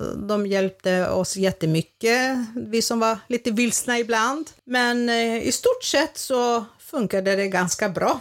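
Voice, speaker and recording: A woman's fairly high voice, very slow, with hardly any pauses, in a very clean recording with a silent background. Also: ordinary pitch variation, very even loudness. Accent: Greek. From Greece, village. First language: Greek (speaking Swedish). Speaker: grandmother. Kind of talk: casual chat.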